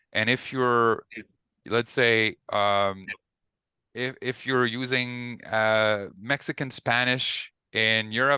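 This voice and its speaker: Over a quiet background, a man with a French Canadian accent speaks at a medium pitch in a bright, sharp tone, the sound dry and close with no echo. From Quebec. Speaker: ecommerce consultant. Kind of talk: webinar panel talk.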